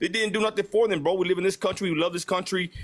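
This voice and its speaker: A high-pitched man speaks with ordinary pitch variation. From Texas. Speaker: livestream host. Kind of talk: casual live chat. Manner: animated.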